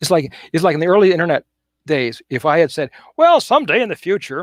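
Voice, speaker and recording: A man with a high pitch and lively intonation at a very fast pace, in a dry, close sound with no echo. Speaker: futurist. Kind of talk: panel interview. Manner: halting, self-described stuttering.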